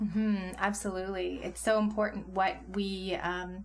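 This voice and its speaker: Somewhat breathy, the woman speaks at a medium pitch with monotone, flat intonation. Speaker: podcast host. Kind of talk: casual interview.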